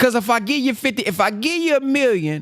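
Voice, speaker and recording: With a Southern US accent, a man speaks at an extremely high pitch. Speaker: motivational speaker. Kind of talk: book reading with commentary. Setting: conference call.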